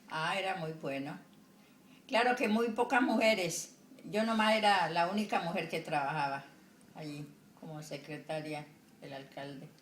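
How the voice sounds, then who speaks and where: A woman speaks fairly slowly at a fairly low pitch, with long, frequent pauses and big swings in loudness. Noticeable background noise and audible room echo surround her. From Colombian Pacific coast, El Charco, Nariño. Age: 70s. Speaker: retired secretary and homemaker. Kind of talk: interview. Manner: halting.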